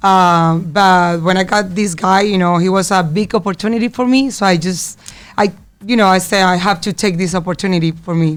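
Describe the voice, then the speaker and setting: A woman with a Spanish accent, medium in pitch, fairly quick in pace, with fairly even intonation. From Colombia. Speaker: singer. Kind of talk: interview. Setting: studio. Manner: halting.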